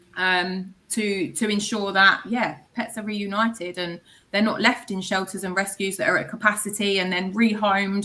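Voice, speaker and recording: Speaking at a moderate pace, a woman with an English accent has a bright, sharp tone, medium pitch and fairly even intonation. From England. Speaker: microchip company representative. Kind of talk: podcast interview.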